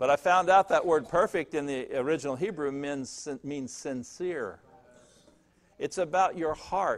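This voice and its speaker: Pitch shifts in an ordinary way as the speech unfolds at a fairly slow pace. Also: man. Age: 60s. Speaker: pastor. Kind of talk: sermon. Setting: church. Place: church.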